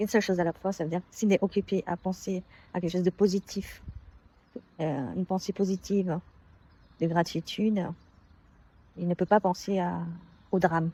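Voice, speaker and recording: A soft-spoken woman with a dark, mellow tone, somewhat breathy and fairly even in intonation, in a dry, close sound with no echo. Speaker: consultant and self-improvement vlogger. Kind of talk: personal vlog monologue. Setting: outdoors on a work campus. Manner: hesitant, many fillers.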